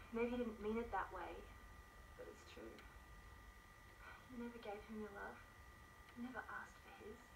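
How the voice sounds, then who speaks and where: A quiet woman's voice at a fairly slow pace, with long, frequent pauses, big swings in loudness and noticeable background noise. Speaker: actress. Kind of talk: dramatic monologue performed for a showreel, earnest scene-acting. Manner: intense, pleading, emotionally urgent, slow and deliberate; tender, imploring, hushed at moments. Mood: earnest, pleading. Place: home room.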